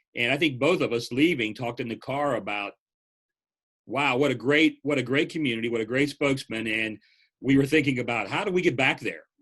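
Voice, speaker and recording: Against a quiet background, a man with an unremarkable speaking voice talks at a medium pitch and a fairly quick pace. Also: ordinary pitch variation. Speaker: press association executive director. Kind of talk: interviewer.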